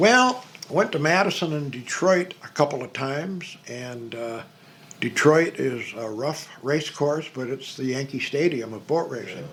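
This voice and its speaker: Against noticeable background noise, a man with an American accent talks at a fairly slow pace, his fairly high pitch carried by lively intonation. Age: 80s+. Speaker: museum volunteer and memorabilia collector. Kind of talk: casual interview. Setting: hydroplane museum.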